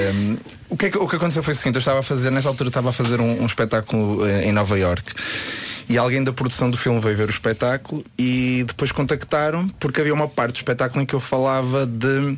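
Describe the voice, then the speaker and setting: A man talks at a very fast pace in a medium pitch, with ordinary pitch variation and very even loudness. Noticeable background noise runs underneath. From Porto, northern Portugal. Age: young. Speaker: magician. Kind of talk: radio interview, casual chat.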